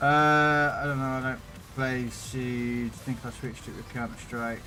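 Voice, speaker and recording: Backed by music and audible room echo, a man with a British accent speaks at medium pitch with fairly even intonation. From Britain. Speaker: gaming streamer. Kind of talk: live stream chat with viewers. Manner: casual, chatty.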